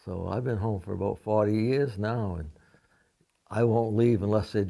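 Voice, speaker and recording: In an American accent, a man speaks with a dark, mellow tone and a fairly low pitch. His intonation is fairly even and his pace moderate. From Maine, US. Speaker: war veteran. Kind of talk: interview. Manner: halting.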